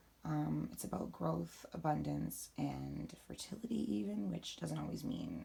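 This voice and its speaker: Moderate-paced speech with noticeable background noise. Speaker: spiritual practice vlogger. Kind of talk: casual tutorial monologue. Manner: hesitant, many fillers.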